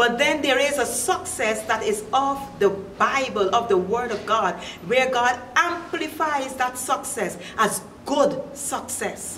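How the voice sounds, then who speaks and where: Through light background noise and audible room echo, a woman speaks very slowly at a high pitch with lively intonation. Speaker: pastor. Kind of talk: sermon. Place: home room.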